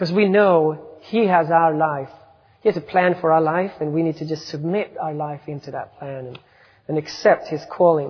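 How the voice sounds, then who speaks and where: In a Swedish accent, a man with a fairly high voice talks at a moderate pace. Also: fairly even intonation. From Sweden. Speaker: missionary. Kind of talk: sermon. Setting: church. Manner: self-deprecating, conversational.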